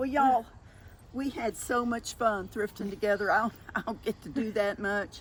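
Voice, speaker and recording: With a Southern US accent, a woman speaks at a moderate pace. Her fairly high voice shows ordinary pitch variation. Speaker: thrift vlogger. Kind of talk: casual chat.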